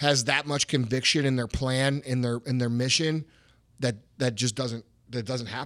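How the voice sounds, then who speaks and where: With a medium pitch and ordinary pitch variation, a man talks at a moderate pace. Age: 30s. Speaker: podcast host and entrepreneur. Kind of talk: fired-up motivational pep talk on hustle and success, profanity-laced. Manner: intense, emphatic and punchy, swearing for emphasis.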